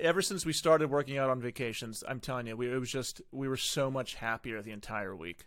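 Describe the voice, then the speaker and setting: At a moderate pace, a man with a medium pitch and ordinary pitch variation speaks in an unremarkable speaking voice. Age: 30s. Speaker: podcast host. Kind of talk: casual interview chat.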